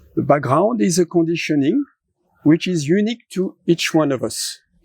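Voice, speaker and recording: In a French accent, a man speaks at a fairly slow pace with lively intonation. The sound is dry and close, with no echo. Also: very clean recording, silent background. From France. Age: 70s. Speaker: philosopher. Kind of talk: interview conversation.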